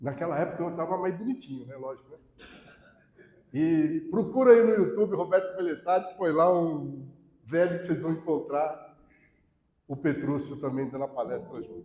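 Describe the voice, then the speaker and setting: This man has a fairly high pitch and a dark, mellow tone, speaking at a moderate pace with ordinary pitch variation, big swings in loudness, and long, frequent pauses. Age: 60s. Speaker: lecturer on alcoholism, volunteer. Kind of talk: public talk to an audience. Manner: casual, conversational.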